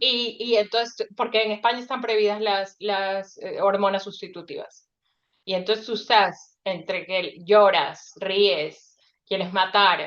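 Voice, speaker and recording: A woman talks at a fairly slow pace with a plain, everyday voice. Her pitch is medium and her intonation fairly even. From Ecuador. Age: 40s. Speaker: author. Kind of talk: casual chat.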